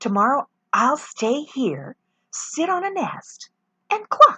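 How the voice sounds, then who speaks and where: A woman uses a put-on character voice, high in pitch and raised to project. She speaks at a fairly slow pace. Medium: read story.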